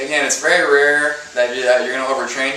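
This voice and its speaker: Speech comes at a fairly quick pace. Audible room echo and noticeable background noise are present. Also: man. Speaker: personal trainer. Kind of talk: tutorial. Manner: fast; rambling with many fillers.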